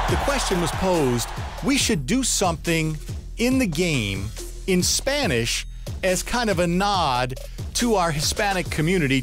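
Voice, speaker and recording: Faint music plays in the background as a man speaks at a moderate pace with very wide pitch swings. The sound is dry with no echo. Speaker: public address announcer for a basketball team. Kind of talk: casual interview answer telling a story. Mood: warm, lively storytelling. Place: studio. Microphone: headset.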